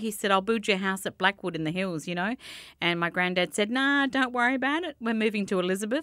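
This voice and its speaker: In an Australian accent, a woman speaks with a bright, sharp tone and lively intonation. The sound is dry with no echo, against a quiet background. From Australia, Adelaide. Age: 40s. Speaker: community radio station manager. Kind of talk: casual interview. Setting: studio. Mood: relaxed, chatty storytelling. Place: studio. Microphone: studio mic.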